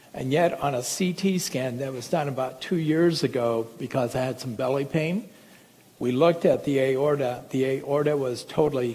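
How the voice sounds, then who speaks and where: A man speaks at a medium pitch with a dark, mellow tone and ordinary pitch variation. Audible room echo surrounds his voice. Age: 60s. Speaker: medical doctor. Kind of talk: lecture. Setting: stage with audience.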